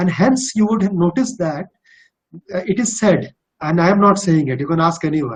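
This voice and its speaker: With a slight Bihari accent, a man talks in a high voice with lively intonation, leaving long, frequent pauses. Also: moderate pace. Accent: slight Bihari Indian English. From India, Bihar. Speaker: corporate executive. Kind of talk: webinar Q&A.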